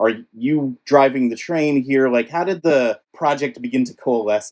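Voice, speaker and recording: A Californian accent at a moderate pace, with ordinary pitch variation and a dry, close sound with no echo. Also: man, fairly high pitch for a man. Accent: Californian American. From Northern California, Bay Area. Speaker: podcast host. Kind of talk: interview.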